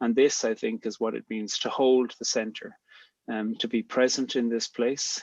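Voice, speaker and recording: Speaking with an Irish accent, a man keeps a medium pitch, a moderate pace, and monotone, flat intonation. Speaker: poet and theologian, theme speaker. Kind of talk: talk to a gathering. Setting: video call.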